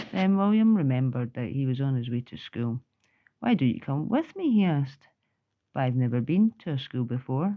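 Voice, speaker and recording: A woman speaks in a very deep, low pitch with very wide pitch swings. Her pace is fairly quick. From Scotland. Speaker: grandmother. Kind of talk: children's book read-aloud.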